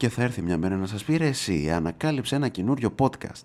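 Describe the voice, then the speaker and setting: A man talks at a fairly quick pace and a medium pitch, his tone animated. The recording is very clean, with a silent background. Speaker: podcast host. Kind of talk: casual monologue.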